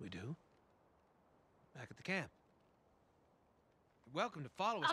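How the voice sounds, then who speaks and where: A man talks at a fairly quick pace with a bright, sharp tone and vocal fry. His pitch swings very widely and his loudness rises and falls a lot. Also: dry sound with no echo. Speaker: video game character. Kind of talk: game character dialogue.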